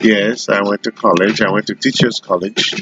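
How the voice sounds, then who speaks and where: The intonation stays fairly even. Music plays in the background. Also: man. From Haiti. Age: 60s. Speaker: retired computer professional. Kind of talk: interview. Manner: hesitant with fillers.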